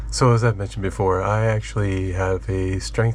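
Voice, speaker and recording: Noticeable background noise runs under audible room echo. Through it, a man talks at a moderate pace. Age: 60s. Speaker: fitness trainer. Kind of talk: tutorial. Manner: casual, with fillers.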